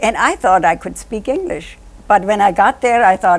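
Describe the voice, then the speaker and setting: Speaking with a German accent, a woman uses lively intonation at a medium pitch and a moderate pace. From Germany. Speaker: author. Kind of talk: interview.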